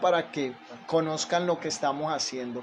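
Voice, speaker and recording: This man's voice is fairly high in pitch. There is noticeable noise in the background. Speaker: pastor. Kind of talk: sermon. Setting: livestream.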